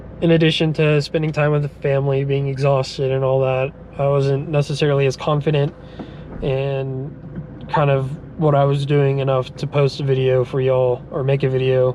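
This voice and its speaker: A man talks in a monotone, flat way at a fairly high pitch, with noticeable background noise. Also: moderate pace. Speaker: car vlogger. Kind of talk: casual vlog while driving. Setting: in a car. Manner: halting, many fillers.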